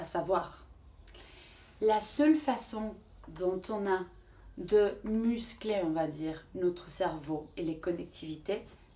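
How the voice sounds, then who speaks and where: With a Spanish accent, a woman speaks at medium pitch in a dark, mellow tone, her intonation lively and her pauses long and frequent. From Mexico. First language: Spanish (speaking French). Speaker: vlogger. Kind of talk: motivational vlog talk. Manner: halting, searching for words.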